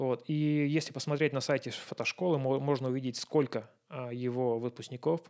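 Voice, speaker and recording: A man speaks at a medium pitch in a flat monotone, recorded very cleanly against a silent background. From Russia. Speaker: photographer. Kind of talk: casual chat.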